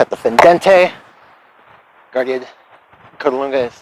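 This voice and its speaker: Noticeable background noise sits under a man's voice. He talks at a fairly high pitch with ordinary pitch variation. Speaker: historical fencing practitioner. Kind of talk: tutorial.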